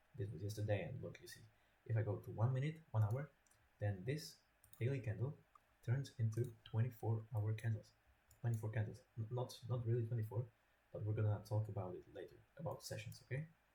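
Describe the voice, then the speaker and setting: Breathing somewhat audibly, a man with a non-native accent talks at a fairly quick pace in a dark, mellow, medium-pitched voice, with long, frequent pauses. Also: ordinary pitch variation. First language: not English. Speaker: trading educator. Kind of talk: tutorial. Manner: halting, repetitive. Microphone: poor quality mic.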